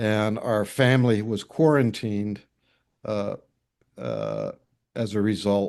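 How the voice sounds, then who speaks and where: A man with an American accent, fairly low in pitch, with fairly even intonation over a quiet background. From US Midwest, northwest Iowa. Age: 60s. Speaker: newspaper editor. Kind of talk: interview. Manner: halting.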